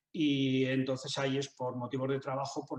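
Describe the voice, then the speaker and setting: A man's medium-pitched, monotone voice with flat intonation at a fairly quick pace. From Spain, Zaragoza (Aragón). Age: 60s. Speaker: writer and business manager. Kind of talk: interview. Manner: halting, many fillers and repetitions.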